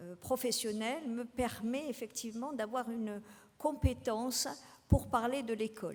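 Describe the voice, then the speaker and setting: This woman's voice is high-pitched for a woman, with ordinary pitch variation, and she talks fairly slowly. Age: 60s. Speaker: retired teacher, political candidate. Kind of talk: campaign speech. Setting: public meeting with audience. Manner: halting.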